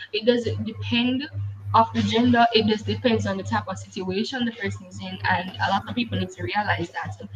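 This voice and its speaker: A woman at a fairly quick pace, with big swings in loudness and noticeable background noise. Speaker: podcast host. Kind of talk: casual chat.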